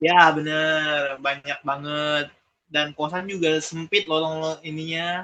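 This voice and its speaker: At a very slow pace, a man with a fairly high pitch speaks in a monotone, flat intonation. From Palembang, South Sumatra, Indonesia. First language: Palembang Malay (speaking Indonesian). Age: 20s. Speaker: interviewee, migrant worker. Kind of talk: interview. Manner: casual, hesitant with fillers.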